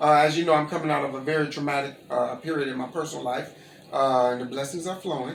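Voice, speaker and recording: A man with an American accent at a very fast pace, with noticeable background noise and audible room echo. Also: fairly high pitch for a man. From Gary, Indiana, US Midwest. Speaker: interviewee, caterer. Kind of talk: casual interview, storytelling. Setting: at home. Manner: animated.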